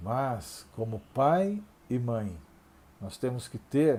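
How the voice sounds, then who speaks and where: A man with a dark, mellow tone lets his pitch swing very widely. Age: 60s. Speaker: pastor. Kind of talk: sermon. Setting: online Bible class video.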